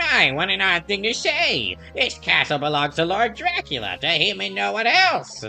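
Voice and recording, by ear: This is a put-on character voice at a moderate pace. Music plays clearly in the background.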